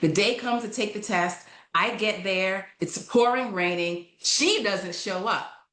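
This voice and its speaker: With an American accent and an animated tone, a woman speaks fairly slowly with ordinary pitch variation amid audible room echo. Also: medium pitch for a woman. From New York. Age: 50s. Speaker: leadership coaching consultant. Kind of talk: podcast interview, personal story. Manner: animated storytelling.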